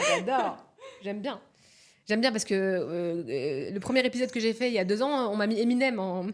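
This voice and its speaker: With noticeable background noise behind her, a woman speaks in an animated tone at a fairly high pitch, her intonation lively. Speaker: psycho-coach. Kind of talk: podcast interview. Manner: fast.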